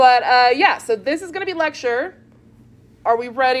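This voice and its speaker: With lively intonation, a woman speaks at a moderate pace in a high voice. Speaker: chemistry professor. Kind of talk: lecture. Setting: classroom. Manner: loud; casual.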